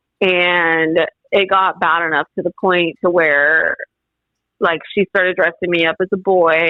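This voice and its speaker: A woman speaks in a fairly low pitch. Her intonation is monotone and flat, and her loudness stays very even. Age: 20s. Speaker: podcast guest sharing life story. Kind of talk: testimony. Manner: halting, filler-heavy.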